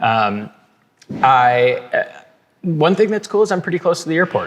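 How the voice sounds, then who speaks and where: At a moderate pace, a man with an American accent talks in a high pitch with very wide pitch swings. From Minnesota, Twin Cities. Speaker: podcast guest, business banker. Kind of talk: casual interview chat. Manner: hesitant, many fillers and restarts.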